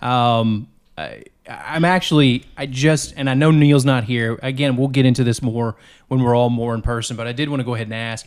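With an unremarkable speaking voice at a medium pitch, a man talks at a fairly quick pace with fairly even intonation on a very clean recording with a silent background. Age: 30s. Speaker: podcast host. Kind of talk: casual chat. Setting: kitchen table.

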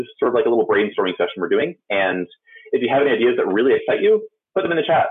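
Here a man is speaking. His pace is very fast. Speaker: community content manager and speaker. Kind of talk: conference talk and Q&A. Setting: virtual conference, video stream.

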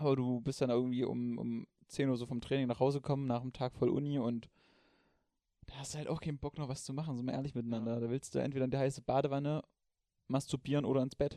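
A man's dark, mellow voice in a flat monotone at a very fast pace, over a quiet background. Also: medium pitch for a man. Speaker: podcast co-host. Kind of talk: casual chat. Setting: sitting in bed at home.

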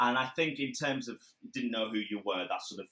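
With a Lancashire accent, a man speaks at a fairly quick pace in a bright, sharp tone. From northern England, Blackburn, Lancashire. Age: 20s. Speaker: mental health charity founder and public speaker. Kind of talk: casual interview.

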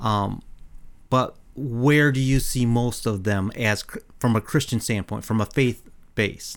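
In a normal speaking voice, a man with an American accent talks at a fairly slow pace, his medium pitch, fairly even intonation and very even loudness holding throughout. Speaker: podcast co-host. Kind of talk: casual chat.

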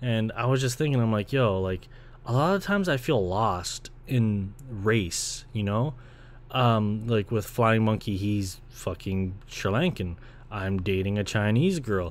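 With a Toronto accent, a man speaks at a fairly low pitch. His pace is fairly slow. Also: ordinary pitch variation. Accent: Toronto Canadian English. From Canada, Ontario (Brampton). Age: 20s. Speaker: podcast host and video creator. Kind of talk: casual solo monologue. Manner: casual, rambling.

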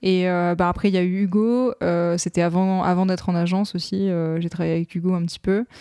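Her voice is medium-pitched, dark and mellow, in a monotone, flat delivery. The woman talks at a fairly quick pace with hardly any pauses. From Lorraine, France (Moselle). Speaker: make-up artist. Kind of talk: casual interview chat. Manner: hesitant, many fillers and repetitions.

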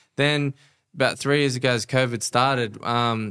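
A man with an Australian accent at a moderate pace, his tone bright and sharp. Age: 30s. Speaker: life coach and entrepreneur. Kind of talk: casual interview chat. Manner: animated, passionate.

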